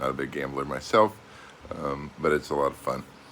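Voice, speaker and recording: Speaking with an American accent, a man has a very deep, low pitch and a moderate pace. Noticeable background noise is present. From United States. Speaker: expat travel vlogger. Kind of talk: casual vlog monologue. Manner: hesitant, many fillers.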